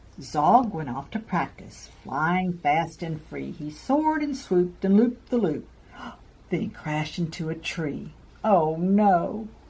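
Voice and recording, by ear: A woman speaks slowly in a fairly low pitch, her tone slightly mellow and touched with vocal fry. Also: lively intonation.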